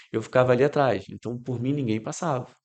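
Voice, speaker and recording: This is an ordinary speaking voice at a fairly quick pace. The background is quiet. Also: man. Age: 60s. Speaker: amateur cyclist. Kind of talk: podcast interview.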